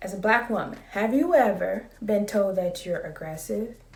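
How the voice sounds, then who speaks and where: A woman's somewhat breathy voice comes through at a fairly high pitch. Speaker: vlogger. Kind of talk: casual vlog monologue. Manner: calm.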